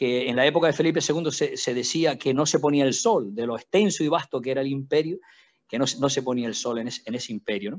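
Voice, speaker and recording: A man speaks at a very fast pace with a fairly high pitch and ordinary pitch variation over a quiet background. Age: 60s. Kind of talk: panel talk. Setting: video call. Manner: halting, many repetitions.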